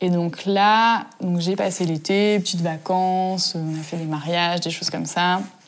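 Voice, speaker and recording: Against noticeable background noise, a woman talks in a fairly low pitch with a monotone, flat intonation. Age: 20s. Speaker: interviewee. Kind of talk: interview. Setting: at home.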